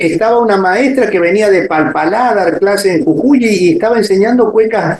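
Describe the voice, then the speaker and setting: Lively intonation carries the voice along at a moderate pace. Noticeable background noise sits behind it. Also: man. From Argentina, Córdoba. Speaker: folk dance teacher and choreographer. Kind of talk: interview. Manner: hesitant, many fillers.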